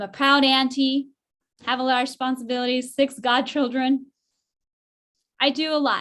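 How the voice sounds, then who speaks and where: In an American accent, a woman with a high pitch speaks at a moderate pace. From Northern California (rural). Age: 30s. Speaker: political candidate. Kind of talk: candidate forum answer.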